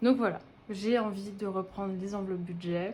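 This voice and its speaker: Her pitch sits in the medium range. The woman speaks at a fairly slow pace. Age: 20s. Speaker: budgeting vlogger. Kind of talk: casual vlog monologue. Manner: hesitant, many filler words.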